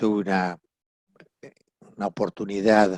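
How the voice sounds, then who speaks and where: A man with an Argentine accent speaks monotonously at a moderate pace and fairly low pitch, the sound dry and close with no echo. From Argentina. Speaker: family mediator. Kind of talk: interview. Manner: halting.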